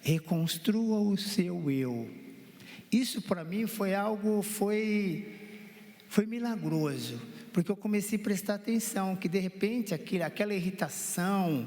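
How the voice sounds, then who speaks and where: This man speaks at a very slow pace with a high pitch and ordinary pitch variation, and noticeable background noise can be heard. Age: 60s. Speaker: counseling guest, husband. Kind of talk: testimony.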